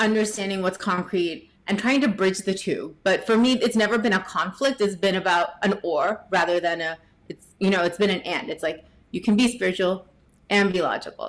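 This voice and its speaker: A woman's medium-pitched voice with a New Jersey accent. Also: ordinary pitch variation, moderate pace. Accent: General American, New Jersey. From US, New Jersey. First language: Gujarati. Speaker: tech professional and yoga teacher. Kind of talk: podcast interview.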